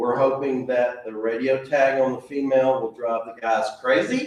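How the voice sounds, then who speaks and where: A man's medium-pitched voice comes through with noticeable background noise. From Tennessee. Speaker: zoo director. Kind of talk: presentation. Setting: club meeting audience. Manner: animated.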